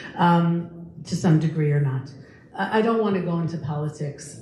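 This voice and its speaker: Audible room echo surrounds a woman with an American accent. She speaks at a moderate pace and a fairly low pitch. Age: 60s. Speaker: lecturer and tour guide. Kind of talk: public talk Q&A. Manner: animated.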